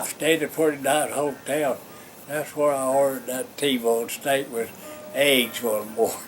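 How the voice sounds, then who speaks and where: With music in the background, a man speaks at a fairly slow pace, his fairly high pitch held in fairly even intonation. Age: 80s+. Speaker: former minor league baseball player. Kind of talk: interview answer.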